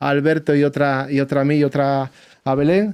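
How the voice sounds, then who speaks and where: At a fairly quick pace, a man with an Asturian accent speaks at a fairly high pitch. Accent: Asturian accent, even in English. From Asturias, Spain. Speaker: musician and podcast host, bagpiper. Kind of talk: casual podcast chat. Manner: animated, informal.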